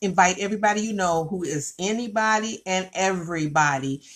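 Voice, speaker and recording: A woman speaks with ordinary pitch variation. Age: 60s. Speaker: network marketing distributor. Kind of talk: sales pitch. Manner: animated; repetitive, energetic.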